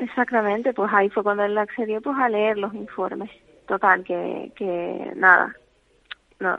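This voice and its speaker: A woman speaks in a plain, everyday voice at a medium pitch. Her pace is moderate. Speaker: family caregiver. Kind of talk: phone interview. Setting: phone call. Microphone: bad phone connection.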